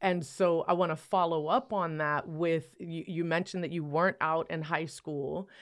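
Delivered at a moderate pace with hardly any pauses, a plain, everyday voice keeps a fairly even intonation. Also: woman, fairly low pitch for a woman. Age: 50s. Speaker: podcast host. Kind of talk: interview conversation.

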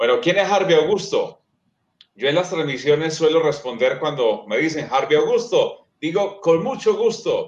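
In an Antioquian accent, a man with a high voice speaks at a fairly slow pace with lively intonation. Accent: Colombian paisa (Antioquia) Spanish. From Colombia, eastern Antioquia (Sonsón). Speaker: sports commentator and communications lecturer. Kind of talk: interview conversation. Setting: remote video stream.

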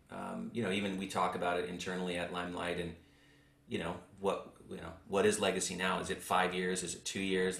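A man's very deep, low voice with audible room echo. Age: 40s. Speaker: podcast host, insurance tech co-founder. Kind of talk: interview chat.

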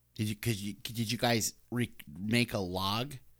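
On a very clean recording with a silent background, a man with a medium pitch speaks at a fairly slow pace. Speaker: podcast host. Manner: animated, friendly.

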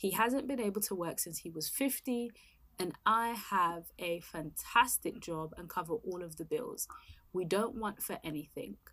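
A woman has an unremarkable speaking voice at medium pitch. She talks at a fairly slow pace with big swings in loudness. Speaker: podcast host. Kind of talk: casual chat. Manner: chatty, easily distracted.

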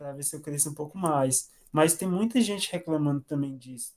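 This man has a normal speaking voice, fairly high in pitch, with ordinary pitch variation and a moderate pace. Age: 20s. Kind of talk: casual interview.

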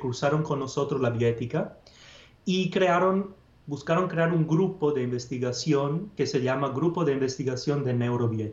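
A man with an Italian accent speaks at a moderate pace in a fairly high, somewhat breathy voice, with ordinary pitch variation and very even loudness. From northern Italy, Padua. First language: Italian (speaking Spanish). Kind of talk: interview.

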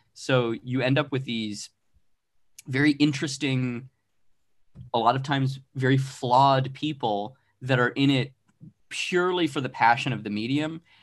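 Against a quiet background, a man talks at a moderate pace with a medium pitch. His intonation is fairly even, broken by long, frequent pauses. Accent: American. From Arizona. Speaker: comic book writer and artist. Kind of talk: casual interview chat.

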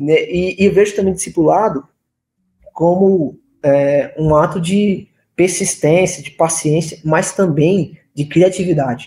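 A man speaks at a very slow pace with a high pitch. His tone is dark and mellow. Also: ordinary pitch variation. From São Paulo state (Limeira), born in Recife. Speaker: youth pastor. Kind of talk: casual podcast conversation. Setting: live-streamed podcast studio.

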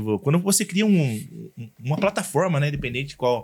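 A fairly high-pitched man talks fairly quickly with very wide pitch swings on a very clean recording with a silent background. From interior of São Paulo state, Brazil. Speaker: social media influencer. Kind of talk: casual podcast interview.

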